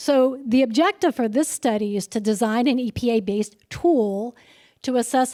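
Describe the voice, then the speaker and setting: A woman's fairly high voice with a dark, mellow tone, recorded dry and close with no echo in a very clean recording with a silent background. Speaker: emergency physician presenting research. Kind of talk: conference presentation. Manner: casual, conversational.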